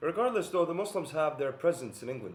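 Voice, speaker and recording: In a Bosnian accent, a man speaks with lively intonation and a somewhat breathy voice. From Bosnia and Herzegovina. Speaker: philosopher and video essayist. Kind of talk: monologue video essay. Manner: hesitant, many fillers.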